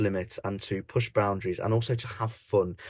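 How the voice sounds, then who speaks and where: With an East Midlands accent, a man speaks fairly quickly, somewhat breathy, with fairly even intonation. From English Midlands, Leicester. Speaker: pantomime dame and comedian. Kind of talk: podcast interview.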